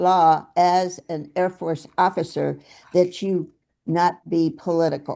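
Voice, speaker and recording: Against a quiet background, a woman speaks in a dark, mellow tone at a fairly low pitch. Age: 80s+. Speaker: party committee member. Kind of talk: committee meeting introduction.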